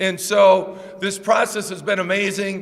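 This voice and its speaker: Loud audio with audible room echo and noticeable background noise. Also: man. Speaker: college basketball head coach. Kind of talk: press conference introduction speech. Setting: press conference with audience.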